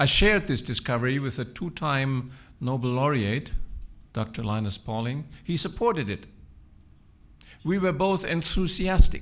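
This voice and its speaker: In a German accent, a man with a fairly high pitch speaks at a moderate pace. His intonation is lively. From Germany. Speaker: physician and researcher. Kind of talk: speech.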